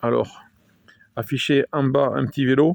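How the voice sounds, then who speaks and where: Dry and close with no echo, the sound is very clean against a silent background. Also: man. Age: 50s. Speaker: amateur video maker. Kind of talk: casual product show-and-tell. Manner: hesitant, many fillers.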